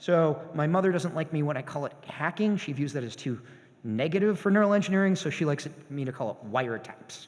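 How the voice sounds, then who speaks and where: Lively intonation marks this man's speech. His pace is very fast and his pitch fairly high. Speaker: professor. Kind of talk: lecture.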